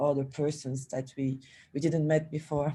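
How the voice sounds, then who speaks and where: Speech comes at a fairly slow pace. It carries a Portuguese accent. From Brazil. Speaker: film festival organizer. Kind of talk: panel discussion. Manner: halting.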